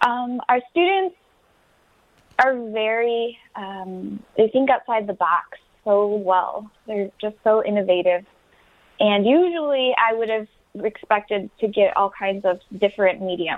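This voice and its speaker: With an American accent, a woman with a fairly high voice speaks at a fairly slow pace and with ordinary pitch variation. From Wyandotte, Michigan, US. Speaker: high school art teacher. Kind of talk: radio interview.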